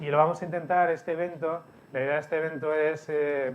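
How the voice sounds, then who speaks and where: A man with a Barcelona accent, fairly high in pitch, his intonation monotone and flat. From Spain, Barcelona. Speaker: CEO of a media company, speaker. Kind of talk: conference presentation. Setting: event hall with audience, streamed.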